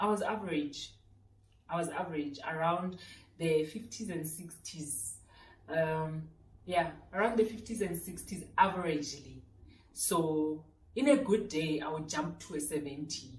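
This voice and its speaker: With a South African accent, the speaker goes at a fairly slow pace with long, frequent pauses, big swings in loudness and ordinary pitch variation, while audible room echo surrounds the voice. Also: woman, fairly low pitch for a woman. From South Africa, Randfontein (West Rand). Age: 30s. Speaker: lifestyle youtuber. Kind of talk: casual Q&A vlog. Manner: chatty, talkative.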